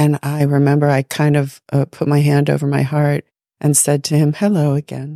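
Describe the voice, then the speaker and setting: A woman speaks at a moderate pace with a very deep, low pitch and monotone, flat intonation. Her loudness stays very even, and the sound is dry and close with no echo. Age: 60s. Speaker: podcast co-host. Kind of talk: casual chat.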